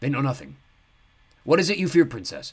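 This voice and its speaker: Putting on a hoarse character voice, a man speaks fairly quickly at a fairly high pitch. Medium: read story. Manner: clipped, guarded.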